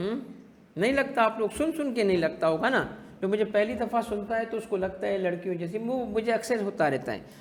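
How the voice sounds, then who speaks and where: Audible room echo follows a man speaking at a moderate pace. His high voice has ordinary pitch variation. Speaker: tax teacher. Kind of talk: lecture. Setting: classroom with online students.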